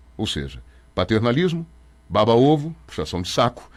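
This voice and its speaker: In a very clean recording with a silent background, a man speaks at a fairly quick pace with vocal fry and very wide pitch swings. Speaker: radio announcer. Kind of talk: interview. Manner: fast.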